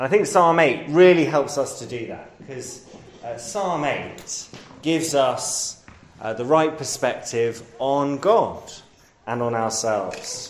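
Noticeable background noise accompanies a man with a London accent whose pitch is fairly high and whose pace is very slow. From London, England. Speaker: preacher. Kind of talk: sermon. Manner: hesitant, many fillers.

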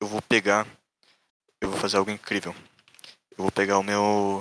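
A man's bright, sharp voice at a fairly low pitch, monotone and flat, at a moderate pace. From Santa Catarina, southern Brazil. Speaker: programmer, site developer. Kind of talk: casual chat.

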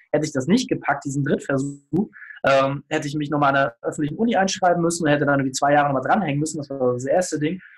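The speaker talks at a very fast pace with ordinary pitch variation, with music in the background. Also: man. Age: 30s. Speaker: business consultant and podcaster. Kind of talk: casual interview.

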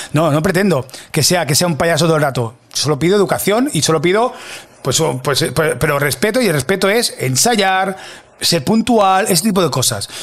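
A man with a high pitch talks at a moderate pace in an animated tone, with lively intonation and very even loudness. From Catalonia, Spain (Mataró). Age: 40s. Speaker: video producer. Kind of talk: interview. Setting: studio.

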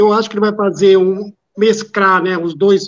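The speaker is a man. His pitch is high. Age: 50s. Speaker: retired football fan. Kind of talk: casual live-stream chat. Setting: online live stream.

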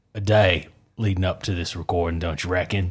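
A man with a very deep, low pitch speaks at a moderate pace, somewhat breathy and with fairly even intonation. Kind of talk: casual chat. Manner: joking.

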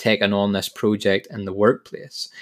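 On a very clean recording with a silent background, a man with a Northern Irish accent talks at a fairly quick pace. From Northern Ireland. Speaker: podcast host. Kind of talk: motivational monologue.

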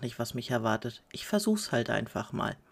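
A woman's very deep, low pitch with very wide pitch swings. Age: 30s. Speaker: podcaster and mother of five. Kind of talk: casual monologue.

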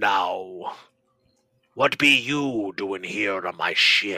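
A man uses a raspy, put-on character voice, fairly low in pitch and delivered very slowly. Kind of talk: pirate speech. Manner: menacing, gloating, mocking.

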